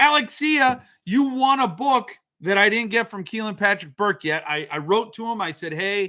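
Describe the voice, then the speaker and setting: A man with a high, bright and sharp voice projects loudly at a fairly slow pace, his pitch swinging very widely. The recording is very clean, with a silent background. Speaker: book review livestream host. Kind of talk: casual livestream chat with viewers.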